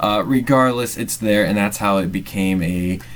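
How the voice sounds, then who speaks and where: With audible room echo around him, a man speaks at a moderate pace using ordinary pitch variation. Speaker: MBA student presenter. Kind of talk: narrated class presentation. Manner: halting, many fillers.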